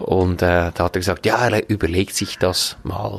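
A man speaking very slowly with fairly even intonation, in a dry, close sound with no echo. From Switzerland, canton Glarus (Braunwald). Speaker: hotel owner and manager. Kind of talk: podcast interview. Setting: outdoors on a restaurant terrace.

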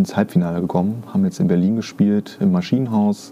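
Ordinary pitch variation from a male speaker, noticeable background noise all around. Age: 30s. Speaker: guitarist and songwriter. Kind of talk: casual chat.

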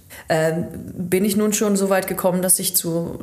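A woman speaks at a moderate pace with fairly even intonation. There is audible room echo and noticeable background noise. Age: 30s. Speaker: chamber of commerce training advisor. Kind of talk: casual chat.

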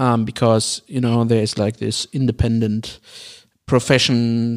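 A man with a German accent speaks at a fairly slow pace in a medium-pitched voice. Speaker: podcast co-host. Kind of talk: casual debate. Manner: halting.

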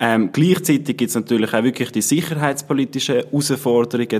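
This is a man speaking with ordinary pitch variation. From Switzerland, Haslital, Bernese Oberland. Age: 20s. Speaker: political candidate and student. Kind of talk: interview.

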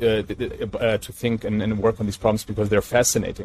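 A man with a German accent, medium in pitch, at a moderate pace. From Germany, Mainz. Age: 30s. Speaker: entrepreneur and sustainability activist. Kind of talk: interview.

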